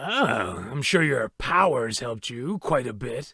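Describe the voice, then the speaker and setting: A man does a put-on character voice that is raspy, at a medium pitch. His pace is fairly slow and his intonation lively. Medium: machinima. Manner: smug, mocking.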